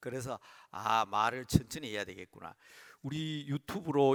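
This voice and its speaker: A man with a normal speaking voice talks at a moderate pace and medium pitch, his intonation lively, in a dry, close sound with no echo. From Busan, South Korea. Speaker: pastor. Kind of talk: sermon. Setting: church service, livestreamed.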